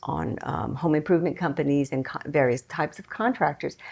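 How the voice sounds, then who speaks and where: The woman's pitch is very deep and low, with ordinary variation and vocal fry. Her pace is moderate. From Hawaii. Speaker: business owner. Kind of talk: interview.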